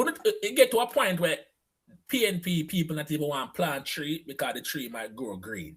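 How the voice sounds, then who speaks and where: An animated man with vocal fry, a fairly high pitch, very wide pitch swings and a fairly quick pace. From Jamaica. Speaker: live-stream show host. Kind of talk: casual chat on a live stream. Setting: live online broadcast.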